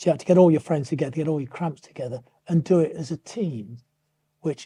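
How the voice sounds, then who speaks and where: The voice is somewhat breathy with a dark, mellow tone, moving at a fairly quick pace in a dry, close sound with no echo. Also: man. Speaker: retired teacher. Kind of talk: interview answer.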